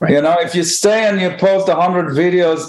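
A man with an Israeli accent and a high pitch. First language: Hebrew. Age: 50s. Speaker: guitarist and music teacher. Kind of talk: casual chat.

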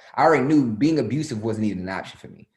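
A man's medium-pitched voice with an American accent, with audible room echo. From US. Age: 30s. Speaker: comedian and actor. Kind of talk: casual interview.

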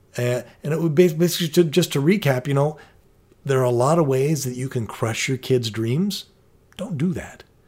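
A man with a fairly high, somewhat breathy voice speaks at a moderate pace with ordinary pitch variation. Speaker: podcast co-host and parent. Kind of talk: casual podcast discussion with joke reading.

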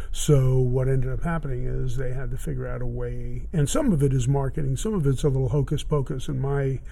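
A man talks at a moderate pace with an American accent. Audible room echo surrounds his voice. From Miami, Florida. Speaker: vintage guitar dealer. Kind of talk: casual interview. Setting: in his guitar store.

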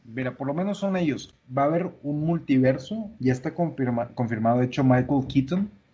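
Speaking at a moderate pace with hardly any pauses, a man in a Mexican accent uses lively intonation and a fairly high pitch, his dark, mellow tone somewhat breathy. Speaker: podcast co-host. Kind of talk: casual chat. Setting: home kitchen.

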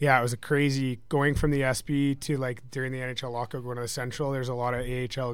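In a western Canadian accent, a man rattles along at a very fast pace with monotone, flat intonation. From British Columbia, Canada. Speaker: hockey defenseman and combat fighter. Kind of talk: casual interview.

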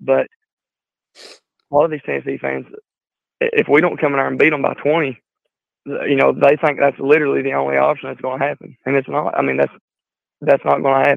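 A man talks at a fairly quick pace. He leaves long, frequent pauses. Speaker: Tennessee fan caller. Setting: phone call.

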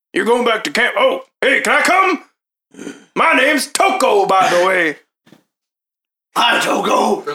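A man puts on an extremely high-pitched character voice, talking at a fairly slow pace with long, frequent pauses. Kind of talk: comic overacting. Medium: actual play. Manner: rambling, chatty, repeats himself.

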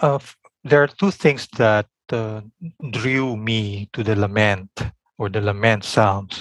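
Speaking in a Filipino accent, a man keeps a fairly low pitch and fairly even intonation at a very slow pace. Long, frequent pauses break up his speech, and the sound is dry and close with no echo. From Philippines. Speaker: biblical scholar and seminary teacher. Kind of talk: interview.

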